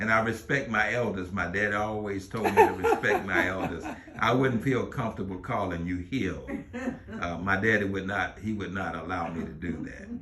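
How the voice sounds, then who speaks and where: A man speaks at a moderate pace in a fairly low pitch with ordinary pitch variation, over noticeable background noise. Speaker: radio host and reverend. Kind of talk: interview questions.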